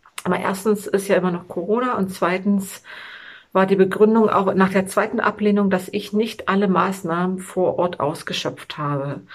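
Fairly even intonation in a woman's somewhat breathy voice. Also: medium pitch for a woman, moderate pace. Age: 40s. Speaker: fitness vlogger and mother. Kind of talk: personal video monologue.

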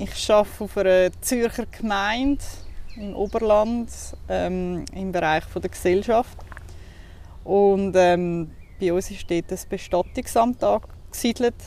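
In a Zurich accent, a woman with a dark, mellow tone speaks at a very slow pace with long, frequent pauses. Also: medium pitch for a woman, ordinary pitch variation. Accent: Swiss German (Zurich). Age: 30s. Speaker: funeral office worker. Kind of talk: casual interview. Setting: outdoors in a cemetery.

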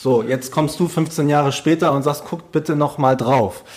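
The man's voice is fairly high in pitch and somewhat breathy. His pace is moderate. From Hamburg, northern Germany. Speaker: podcast host. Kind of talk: casual interview.

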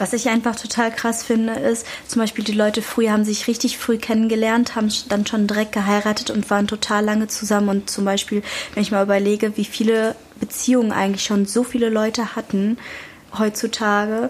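Against noticeable background noise, a woman with a fairly high pitch talks at a fairly quick pace in a monotone, flat intonation, keeping her loudness very even. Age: young. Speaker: youth podcast co-host. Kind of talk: casual chat.

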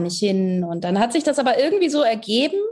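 A woman's somewhat breathy, dark and mellow voice at a fairly quick pace. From northern Germany, Hamburg area. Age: 20s. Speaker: singer-songwriter. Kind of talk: interview.

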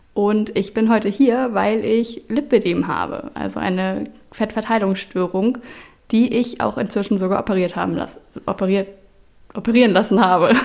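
A woman speaks with vocal fry at a medium pitch. Her pace is moderate and her intonation fairly even. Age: 20s. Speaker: IT consultant, patient sharing illness experience. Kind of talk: interview testimony.

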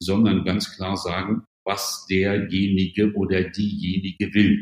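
His intonation monotone and flat, a man speaks at a fairly low pitch. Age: 60s. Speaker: management consultant and author. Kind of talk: podcast interview.

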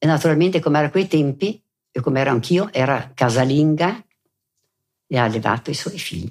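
Her pitch very deep and low, a woman speaks at a fairly quick pace with lively intonation. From South Tyrol, Italy (Bolzano, Merano). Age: 80s+. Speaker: war-era eyewitness. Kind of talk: oral history interview. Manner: halting.

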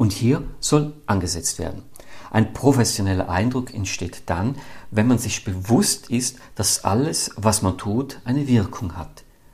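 At a fairly slow pace, a somewhat breathy man speaks with ordinary pitch variation. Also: medium pitch for a man. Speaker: podcast host, business comedian. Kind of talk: scripted monologue; casual interview chat.

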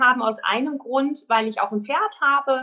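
A woman's bright, sharp tone at a moderate pace, with ordinary pitch variation. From Germany, Sauerland. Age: 30s. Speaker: dog trainer. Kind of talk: interview. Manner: hesitant, many filler sounds.

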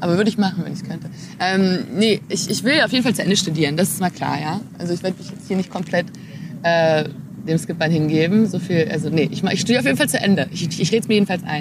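Over noticeable background noise, a woman talks at a very fast pace. Her pitch is fairly low, with ordinary variation. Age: 20s. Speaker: sailing skipper and engineering student. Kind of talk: casual interview. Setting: in person, Berlin.

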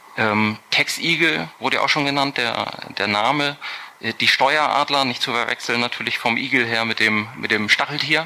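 Amid noticeable background noise, a man speaks at a moderate pace in a medium pitch with ordinary pitch variation. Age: 30s. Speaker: tax advisor. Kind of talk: podcast interview. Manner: hesitant, many fillers.

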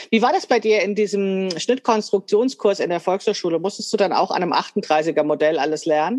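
With a plain, everyday voice, a woman speaks at a moderate pace and medium pitch, using ordinary pitch variation and hardly any pauses. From Hesse, Frankfurt. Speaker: podcast host, sewing teacher. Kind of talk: interview chat.

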